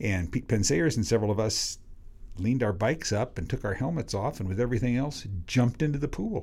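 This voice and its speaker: Very fast and with lively intonation, the voice has a dark, mellow tone with vocal fry on a very clean recording with a silent background. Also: man. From US Pacific Northwest, Washington State. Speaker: cycling coach. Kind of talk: casual chat.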